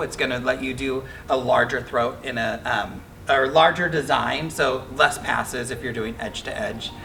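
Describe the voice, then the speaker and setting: A man talks with ordinary pitch variation while noticeable background noise fills the recording. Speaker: quilting machine demonstrator. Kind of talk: product demo tutorial. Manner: fast; casual, filler-heavy.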